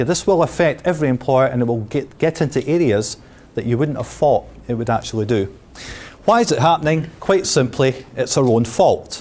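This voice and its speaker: A man with a Scottish accent speaks at a moderate pace with lively intonation. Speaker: pensions specialist. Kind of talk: seminar talk. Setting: seminar room with audience. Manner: casual, with frequent fillers.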